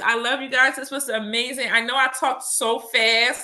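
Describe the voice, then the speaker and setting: The speaker uses a raised, projected voice with a bright, sharp tone at a moderate pace. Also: woman. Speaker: spiritual workshop teacher. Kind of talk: live workshop Q&A. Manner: animated.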